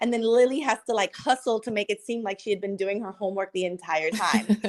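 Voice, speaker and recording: A woman with a Spanish accent talks at a very fast pace in an animated tone, her pitch fairly high. Her pitch varies in an ordinary way, and the background is quiet. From Cuban American, US. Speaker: filmmaker. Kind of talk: interview.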